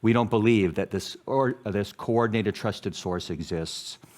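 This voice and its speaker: A man's normal speaking voice with an American accent, medium pitch, fairly even intonation and a fairly quick pace, in a very clean recording with a silent background. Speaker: public health academic, journal editor. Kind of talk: conference talk.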